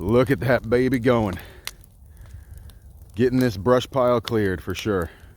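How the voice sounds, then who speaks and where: Amid light background noise, a man talks at a fairly slow pace with ordinary pitch variation and long, frequent pauses, in a dry sound with no echo. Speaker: homestead vlogger. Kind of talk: casual vlog. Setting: outdoors. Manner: loud; animated. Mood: cheerful, relaxed. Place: open country. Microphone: phone near.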